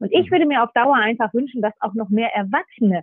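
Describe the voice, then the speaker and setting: A woman with a plain, everyday voice speaks at a fairly high pitch with lively intonation. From northern Germany, Nordhorn (Lower Saxony). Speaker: sports federation executive. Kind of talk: interview. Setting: remote line.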